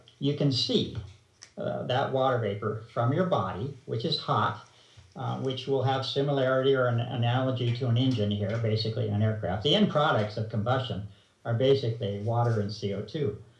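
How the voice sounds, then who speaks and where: A man with a medium-pitched voice talks at a fairly quick pace, with ordinary pitch variation. There is audible room echo and noticeable background noise. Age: 60s. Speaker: researcher interviewed about chemtrails. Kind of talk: interview. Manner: hesitant, many fillers.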